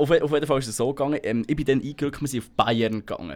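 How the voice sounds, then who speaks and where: Talking very fast, a man uses a fairly high pitch with ordinary pitch variation. He speaks in a Bernese accent. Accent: Bernese Swiss German. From Switzerland, Bernese Seeland. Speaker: podcast host. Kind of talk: casual chat.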